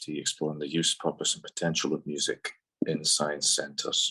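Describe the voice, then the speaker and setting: In a northeast Scottish accent, a man speaks with a bright, sharp tone. The sound is dry and close with no echo. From northeast Scotland, Portsoy. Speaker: doctoral student. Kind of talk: academic presentation. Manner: hesitant, with filler sounds.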